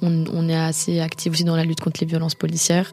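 A woman speaks in a fairly low pitch. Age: young. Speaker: film director and DJ. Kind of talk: personal testimony. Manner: hesitant, many fillers and repetitions.

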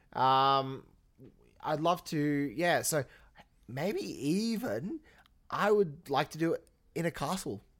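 In a very clean recording with a silent background, a man with an Australian accent speaks at a very slow pace with lively intonation and long, frequent pauses. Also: fairly high pitch for a man. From England until age ten, then Australia. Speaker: podcast co-host, professional Santa performer. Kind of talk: casual chat.

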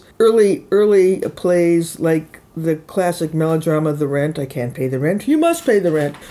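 A woman with an American accent and an ordinary speaking voice talks at a moderate pace with hardly any pauses, her fairly low pitch showing ordinary pitch variation. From US Midwest, Chicago. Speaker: theater writer and producer. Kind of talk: interview, casual storytelling.

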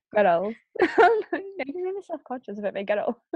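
In a Scottish accent, a woman talks at a moderate pace in a high pitch with very wide pitch swings. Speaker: podcast co-host. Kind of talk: casual chat.

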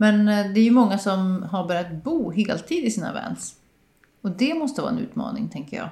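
A woman speaks at a moderate pace in a somewhat breathy voice, her tone dark and mellow and her intonation lively. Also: medium pitch for a woman. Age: 40s. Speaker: podcast host. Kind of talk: casual interview chat. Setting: small apartment home studio.

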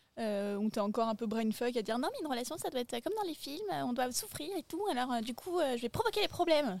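A woman speaks at a very fast pace in a high voice with very wide pitch swings, over noticeable background noise. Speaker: podcast guest. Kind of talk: casual chat. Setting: outdoors, garden table.

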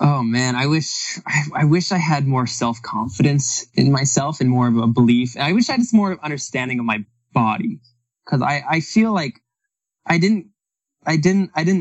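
With lively intonation at a moderate pace, a man talks in a fairly high pitch, an ordinary speaking voice. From Canada. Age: 30s. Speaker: retired professional runner and coach. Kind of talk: casual interview chat.

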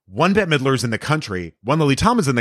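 A man with an American accent and vocal fry, very fast, with very wide pitch swings, on a very clean, dry, close recording with a silent background and no echo. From Texas, El Paso. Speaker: actor and comedian. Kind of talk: casual chat.

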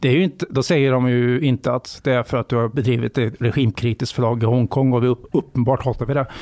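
A man at medium pitch talks very fast, with hardly any pauses and fairly even intonation. The sound is dry and close, with no echo. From western Sweden, Borås area. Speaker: journalist and author. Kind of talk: interview conversation.

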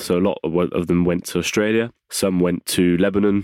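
Recorded very cleanly with a silent background and a dry, close sound with no echo, a man speaks at a very deep, low pitch in a monotone, flat intonation. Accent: English. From England. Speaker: wheelchair rugby league player. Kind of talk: casual chat. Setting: studio.

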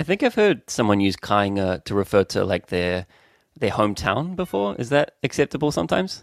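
In a New Zealand accent, the speaker talks at a fairly quick pace with lively intonation, in a very clean recording with a silent background and a dry, close sound with no echo. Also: man, fairly low pitch for a man. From New Zealand, Auckland. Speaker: podcast co-host. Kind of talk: language lesson. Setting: at home.

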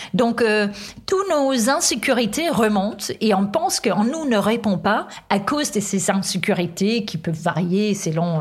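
Speaking at a fairly slow pace over noticeable background noise, a woman with a medium-pitched voice uses lively intonation. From Denmark. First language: Danish (speaking French). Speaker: author, workplace wellbeing specialist. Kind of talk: interview.

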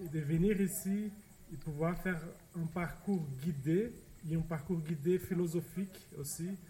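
A man's dark, mellow voice, high in pitch, with a Portuguese accent, a fairly slow pace and fairly even intonation. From Brazil, São Paulo. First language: Portuguese (speaking French). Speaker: study participant. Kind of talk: interview. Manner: halting.

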